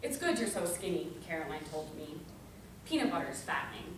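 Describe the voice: A woman talks at a fairly quick pace in a fairly low voice, making big pitch swings amid audible room echo.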